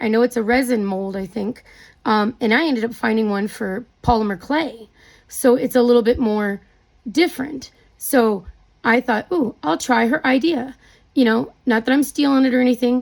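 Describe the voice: Raspy, slightly mellow woman's voice, fairly high in pitch, with vocal fry. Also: ordinary pitch variation, moderate pace.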